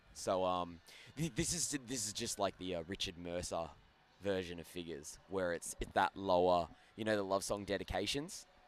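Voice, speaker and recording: Speaking with an Australian accent, a man uses a very deep, low pitch, ordinary pitch variation and a moderate pace. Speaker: ice hockey commentator. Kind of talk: live commentary. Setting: commentary booth at rink. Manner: casual, bantering.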